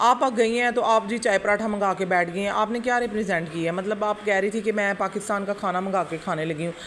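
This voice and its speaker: With a Punjabi accent, a woman speaks in an animated tone at a medium pitch, with hardly any pauses. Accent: Punjabi-tinged Urdu. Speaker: YouTube reaction commentator. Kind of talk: critical reaction commentary.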